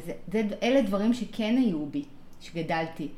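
This woman's voice sits at a medium pitch. It sounds somewhat breathy. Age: 40s. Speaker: parent coach. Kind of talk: casual interview conversation.

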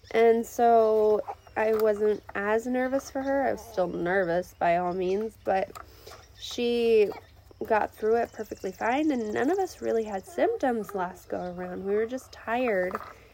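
A woman with a fairly high voice speaks at a fairly slow pace with ordinary pitch variation. Noticeable background noise can be heard. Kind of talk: casual faith talk. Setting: outdoors. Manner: chatty with frequent fillers.

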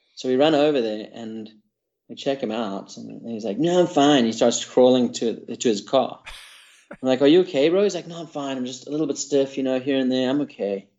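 He has a normal speaking voice, pitched in the medium range for a man. His pace is fairly quick and his pitch variation ordinary. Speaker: skydiving drop zone owner. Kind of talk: casual chat.

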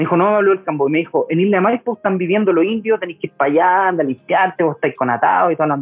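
A man with a Chilean accent talks at a very fast pace. His pitch is high, with ordinary pitch variation. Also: hardly any pauses. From Chile, Quilpué (Valparaíso region). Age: 30s. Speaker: naturopathic doctor. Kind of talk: casual chat.

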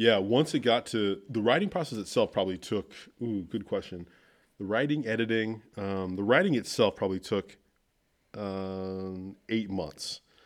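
A man with an American accent and a normal speaking voice talks at a moderate pace with a fairly low pitch and ordinary pitch variation, on a very clean recording with a silent background. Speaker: author and leadership coach. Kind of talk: casual interview chat.

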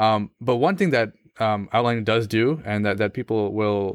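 On a very clean recording with a silent background and a dry, close sound with no echo, a man with an American accent talks at a fairly slow pace in an unremarkable speaking voice, medium in pitch with ordinary pitch variation. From US, Pakistani family. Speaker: law student. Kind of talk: casual interview conversation.

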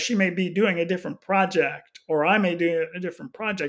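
This is a man speaking. He has a Texan accent. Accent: Texan American. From Houston, Texas. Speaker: missions pastor. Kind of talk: casual interview.

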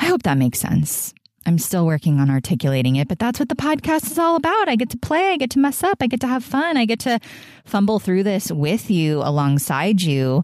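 A woman talks at a fairly quick pace in a warm tone. Her medium pitch swings very widely. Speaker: spiritual podcast host. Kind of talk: casual interview. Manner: warm, effusive.

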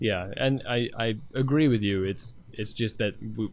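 At a moderate pace, a man with a medium pitch talks in a plain, everyday voice, his intonation fairly even. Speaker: co-host. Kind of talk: casual chat.

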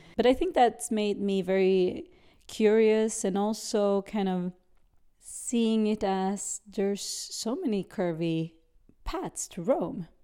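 Speech comes at a very slow pace in a dark, mellow tone with ordinary pitch variation. The recording is very clean, with a silent background. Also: woman, fairly high pitch for a woman. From Sweden. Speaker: businesswoman. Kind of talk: interview. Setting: home apartment.

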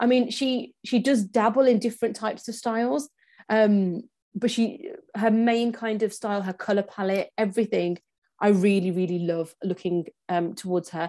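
A woman's fairly high, dark, mellow voice with an English accent, at a moderate pace and with ordinary pitch variation. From England, Punjabi family. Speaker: personal stylist. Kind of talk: casual interview chat.

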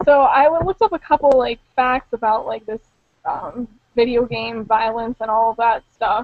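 A woman's fairly high voice in a Pittsburgh accent, with ordinary pitch variation. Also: moderate pace. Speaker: gaming podcast host. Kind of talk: casual chat.

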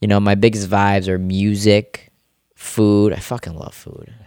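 Speaking at a moderate pace in a fairly low pitch, a man with an American accent shows big swings in loudness. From US, Rochester, New York area. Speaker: natural bodybuilder and personal trainer. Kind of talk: casual interview. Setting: studio. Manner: animated.

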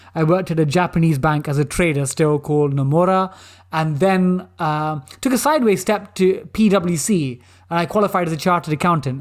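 A man's animated voice in a London accent, high-pitched and fairly quick, on a very clean recording with a silent background. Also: ordinary pitch variation, very even loudness. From East London, England. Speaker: former banker and quiz show contestant. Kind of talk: interview.

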